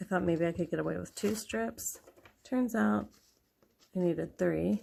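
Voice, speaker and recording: Soft-spoken with a dark, mellow tone, the speaker moves at a moderate pace through very wide pitch swings. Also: woman, fairly low pitch for a woman. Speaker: mom vlogger, planner crafter. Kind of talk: casual tutorial narration. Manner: quiet, soft-spoken.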